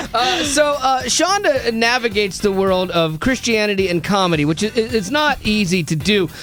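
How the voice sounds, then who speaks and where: The tone is animated and the intonation lively, at a moderate pace with hardly any pauses and very even loudness. Music plays in the background. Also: man, high pitch for a man. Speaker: radio host. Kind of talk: casual chat.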